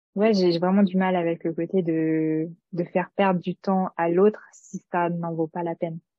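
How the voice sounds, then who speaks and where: A woman speaks in a fairly low voice. Her intonation stays flat and monotone. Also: fairly slow pace. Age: 30s. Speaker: former scientific researcher. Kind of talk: casual interview chat. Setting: recorded conversation over tea. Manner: halting, many hesitations.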